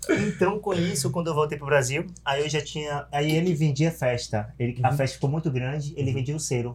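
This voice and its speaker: At a fairly quick pace, a man talks in a somewhat breathy, fairly high voice with ordinary pitch variation. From Bahia, Brazil (small interior town). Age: 30s. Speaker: event promoter. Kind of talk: casual chat.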